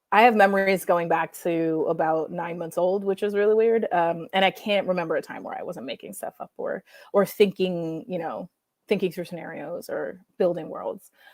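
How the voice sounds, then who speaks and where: In a very clean recording with a silent background and a dry, close sound with no echo, a woman with an American accent speaks in an unremarkable speaking voice at medium pitch and moderate pace, her intonation fairly even but her loudness swinging widely. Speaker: comic book writer. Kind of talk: interview.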